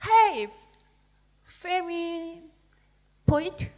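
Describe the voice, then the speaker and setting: With a Korean accent, a woman talks at a very slow pace in an extremely high pitch. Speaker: poet. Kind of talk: panel discussion. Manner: halting.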